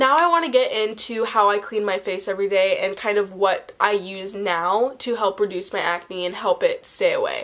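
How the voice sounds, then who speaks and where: A woman speaks in a plain, everyday voice, pitched fairly high, with ordinary pitch variation. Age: young. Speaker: beauty vlogger. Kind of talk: casual talk to camera.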